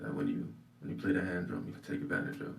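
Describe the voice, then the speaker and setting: With a slight Nigerian accent and vocal fry, a man speaks amid audible room echo. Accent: slight Nigerian-tinged. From Maryland, US, Nigerian family. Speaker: singer and percussionist. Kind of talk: interview.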